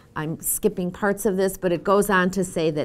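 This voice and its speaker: This is an ordinary speaking voice from a woman with an American accent. She uses a medium pitch at a moderate pace. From US Northeast, Boston. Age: 60s. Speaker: former government official and social work fellow. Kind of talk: lecture.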